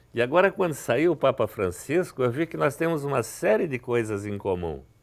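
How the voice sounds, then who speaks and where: A man at a medium pitch and moderate pace, with very wide pitch swings. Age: 70s. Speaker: author and businessman. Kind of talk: TV interview.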